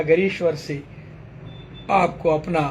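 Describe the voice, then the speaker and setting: The delivery is monotone and flat at a very slow pace. Room echo is audible. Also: man. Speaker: spiritual teacher. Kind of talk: sermon.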